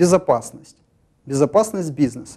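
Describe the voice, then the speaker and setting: Here a man speaks at a fairly high pitch. His pace is moderate, with ordinary pitch variation. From Ukraine. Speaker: regional party leader and human rights activist; talk show guest. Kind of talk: live TV studio interview. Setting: TV studio. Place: studio. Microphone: lapel.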